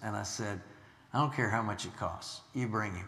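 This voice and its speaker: A man speaks at a moderate pace with fairly even intonation. His is an unremarkable speaking voice. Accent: American. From US Midwest, Illinois. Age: 60s. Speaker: missionary preacher. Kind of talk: sermon. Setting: church.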